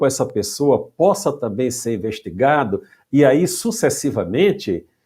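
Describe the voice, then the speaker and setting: On a very clean recording with a silent background, a man with a dark, mellow tone speaks at a very slow pace using very wide pitch swings. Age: 60s. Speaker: retired judge. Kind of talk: interview.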